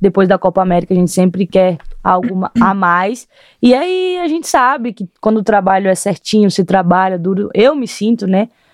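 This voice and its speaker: A woman speaks in a plain, everyday voice at a moderate pace and medium pitch. Her pitch varies in an ordinary way, and the sound is dry and close with no echo. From Brazil, Rio Grande do Norte. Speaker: footballer. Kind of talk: interview.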